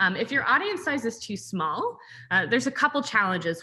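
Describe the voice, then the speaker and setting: Against a quiet background, a woman speaks at a fairly quick pace in a bright, sharp tone. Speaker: brand growth strategist, webinar presenter. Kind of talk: webinar presentation. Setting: zoom webinar. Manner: fast.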